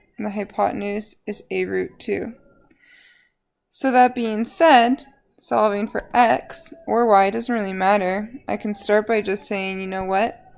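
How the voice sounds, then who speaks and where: An unremarkable speaking voice from a woman, medium in pitch, fairly slow, with ordinary pitch variation. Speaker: high school math teacher. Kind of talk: lecture.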